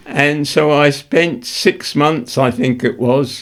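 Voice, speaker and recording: This man talks at a very slow pace. His accent is English. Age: 80s+. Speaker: war veteran; retired journalist. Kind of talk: interview answer.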